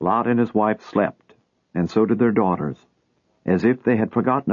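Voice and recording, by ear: With ordinary pitch movement and quiet surroundings, a text is read aloud in a natural voice.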